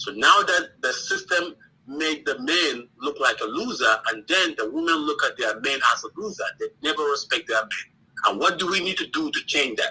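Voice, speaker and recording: Over noticeable background noise, a man with an African accent talks at a moderate pace with hardly any pauses. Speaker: caller. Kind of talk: call-in debate. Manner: hesitant, many fillers.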